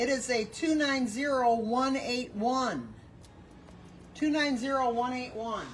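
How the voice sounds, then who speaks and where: A woman speaks loudly at a high pitch and a very slow pace, with long, frequent pauses. Her intonation is fairly even, and the room echo is audible. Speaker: bin store staff running a live sale. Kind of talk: livestream announcing raffle ticket winners.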